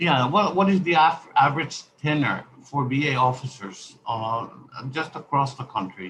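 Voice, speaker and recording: A man talks with a non-native accent. His pitch is fairly high and his intonation lively. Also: moderate pace. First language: not English. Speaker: congressman. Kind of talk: congressional hearing questioning. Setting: virtual hearing. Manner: halting, many fillers.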